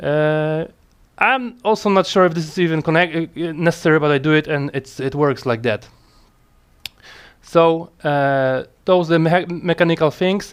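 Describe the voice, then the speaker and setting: With a non-native accent, a man speaks at a moderate pace in a fairly high pitch, with ordinary pitch variation and long, frequent pauses. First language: not English. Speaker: motorcycle mechanic hobbyist. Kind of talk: casual tutorial talk to camera. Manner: hesitant, many fillers.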